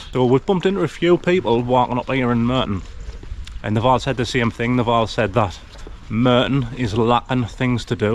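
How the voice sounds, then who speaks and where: A man speaks at a medium pitch and a fairly quick pace. Noticeable background noise runs underneath. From north-east England, Sunderland area. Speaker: travel vlogger. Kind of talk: casual vlog narration to camera. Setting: outdoors, walking streets.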